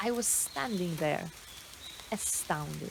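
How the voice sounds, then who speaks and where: Very wide pitch swings from a woman at a fairly slow pace, with noticeable background noise. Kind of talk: spoken word poetry reading. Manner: slow, reflective.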